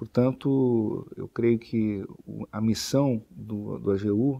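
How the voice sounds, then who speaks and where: Very slowly, a man speaks at a medium pitch with a dark, mellow tone and monotone, flat intonation. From southern Brazil (Rio Grande do Sul). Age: 40s. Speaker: lawyer and government official; lawyer. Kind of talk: interview statement. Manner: formal; halting. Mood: calm, formal, measured. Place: office. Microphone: lapel.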